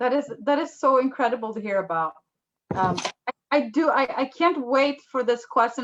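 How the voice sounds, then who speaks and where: A woman speaks with a Swedish accent. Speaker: interviewer, business association host. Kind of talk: interview. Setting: video call.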